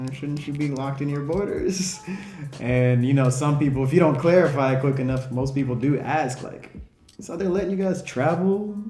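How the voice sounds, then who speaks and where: Music plays in the background of a man speaking with an American accent, and audible room echo is present. He has a fairly high pitch, ordinary pitch variation and a moderate pace. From United States. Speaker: travel vlogger. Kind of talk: casual vlog talk. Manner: casual, slangy.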